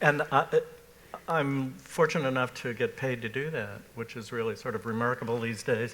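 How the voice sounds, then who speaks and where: Over noticeable background noise, a man speaks at a medium pitch with ordinary pitch variation. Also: moderate pace. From US Northeast, Massachusetts. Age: 60s. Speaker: art critic. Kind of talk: panel discussion. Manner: halting, many fillers.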